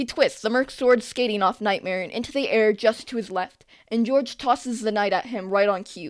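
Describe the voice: The pitch shifts an ordinary amount. The delivery is plain reading aloud.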